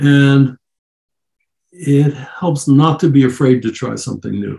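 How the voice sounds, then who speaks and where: A man's medium-pitched, somewhat breathy voice with a dark, mellow tone, fairly even intonation, a moderate pace and an American accent. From US, Baltimore. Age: 80s+. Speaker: author and psychologist. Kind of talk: interview.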